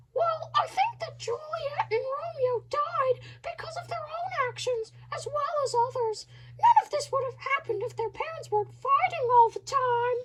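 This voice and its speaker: Squeaky and extremely high-pitched, this woman's put-on character voice moves at a moderate pace with lively intonation. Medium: stage play. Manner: chatty, rambling.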